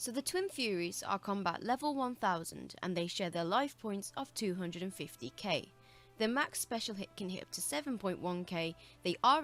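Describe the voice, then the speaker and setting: A woman with a British accent talks at a medium pitch and a moderate pace. Her intonation is lively, with music in the background. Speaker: video game guide maker. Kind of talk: game tutorial narration.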